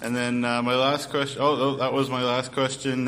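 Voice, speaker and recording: Over noticeable background noise, a man speaks at medium pitch and a fairly quick pace. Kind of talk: casual interview.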